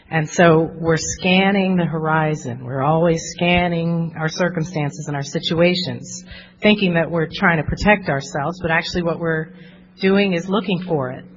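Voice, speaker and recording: A woman with an American accent at a fairly low pitch, moderate pace and fairly even intonation, music in the background. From New Jersey. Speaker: therapist. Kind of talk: workshop talk.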